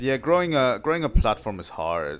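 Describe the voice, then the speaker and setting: Here a man speaks with a German accent at a fairly quick pace. His pitch swings very widely. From southern Germany. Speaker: video game streamer. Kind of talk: live gameplay stream chat. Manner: casual, with frequent repetitions and fillers.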